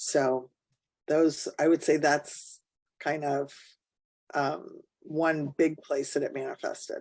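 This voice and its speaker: Speaking very slowly with long, frequent pauses, a woman uses a very deep, low pitch and a flat monotone. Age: 60s. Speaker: podcast guest. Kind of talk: casual chat.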